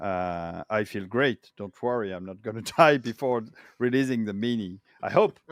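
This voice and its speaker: A man with a French accent speaks at a moderate pace in a medium pitch, with ordinary pitch variation, big swings in loudness, and a dry, close sound with no echo. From France. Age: 50s. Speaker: retro game hardware project manager. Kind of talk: casual interview. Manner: halting, many fillers.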